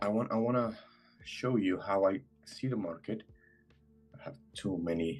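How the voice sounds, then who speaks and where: A man with a Spanish accent at a moderate pace, ordinary pitch variation and long, frequent pauses, music in the background. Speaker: trader. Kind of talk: live trading stream chat. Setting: video call. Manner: halting.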